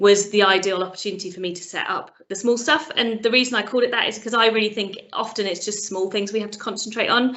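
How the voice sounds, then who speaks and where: A woman with a British accent speaks at a very fast pace, her pitch medium. Her intonation stays fairly even. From Britain. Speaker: sales trainer and coach, business founder. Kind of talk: interview.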